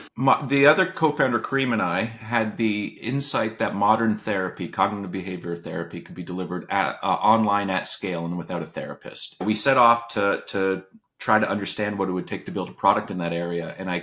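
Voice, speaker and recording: Speaking at a fairly quick pace, a man with a slight Canadian accent has a fairly low pitch and a bright, sharp tone. His pitch varies in an ordinary way, and the recording is very clean with a silent background. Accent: subtle Canadian. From Canada. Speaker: venture capitalist, former tech product head. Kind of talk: interview. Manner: frequent fillers and repetitions.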